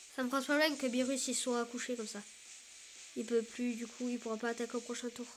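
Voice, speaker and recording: A woman speaks at a very fast pace with a high voice. She leaves long pauses often. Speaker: gaming youtuber. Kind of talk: gameplay commentary. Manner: animated.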